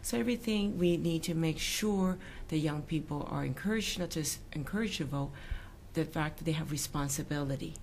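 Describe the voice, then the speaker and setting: The speech is somewhat breathy and fairly quick, with ordinary pitch variation. Room echo is audible. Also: woman, very deep, low pitch for a woman. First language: not English. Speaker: provincial politician. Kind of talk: political interview. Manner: halting.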